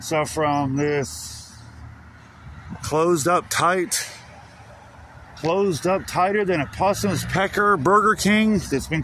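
A man's high-pitched voice, very slow with long, frequent pauses, ordinary pitch variation, a dry sound with no echo, and light background noise. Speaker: urban explorer vlogger. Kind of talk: casual vlog chat. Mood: wary, casual. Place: street. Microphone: phone near.

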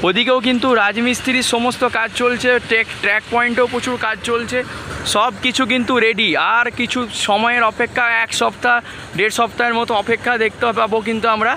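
A man speaks in a raised, projected voice at an extremely high pitch, with monotone, flat intonation and very even loudness. The sound is dry with no echo, over light background noise. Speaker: travel vlogger; rail update vlogger. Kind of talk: walking vlog narration. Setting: outdoors at a railway station. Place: station. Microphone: phone near.

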